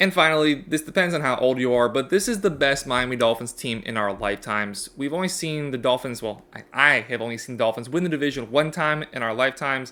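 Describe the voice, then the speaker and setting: The pace is very fast and the tone bright and sharp. The recording is very clean with a silent background. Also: man. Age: 20s. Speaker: sports YouTuber. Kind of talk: casual sports commentary monologue. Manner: hesitant with fillers and repeats.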